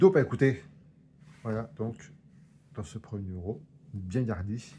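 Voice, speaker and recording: Medium in pitch, a man's voice has a dark, mellow tone and sounds somewhat breathy. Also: lively intonation, big swings in loudness. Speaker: collector reviewing magazine collections. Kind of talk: casual unboxing review. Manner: stumbling over words.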